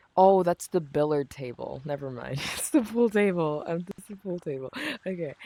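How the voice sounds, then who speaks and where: A man speaking at a moderate pace. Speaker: gaming streamer. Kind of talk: casual chat. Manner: monotone; halting.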